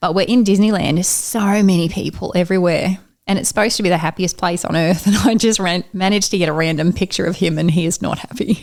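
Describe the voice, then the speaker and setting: A woman speaks very fast, with hardly any pauses. Her pitch is medium and her intonation fairly even. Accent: Australian. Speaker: amateur runner. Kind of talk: casual chat.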